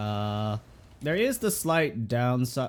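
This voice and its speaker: A man speaks. The recording is very clean, with a silent background. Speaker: gaming streamer and VTuber. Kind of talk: gameplay build commentary. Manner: fast.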